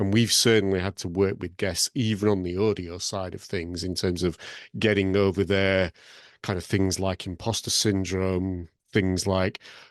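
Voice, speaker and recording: The voice has a Lancashire accent and monotone, flat intonation. The pace is moderate over a quiet background. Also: man, very deep, low pitch for a man. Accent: Lancashire accent, kept. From northern England, Blackburn (Lancashire). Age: 50s. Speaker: podcast host. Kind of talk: online panel discussion.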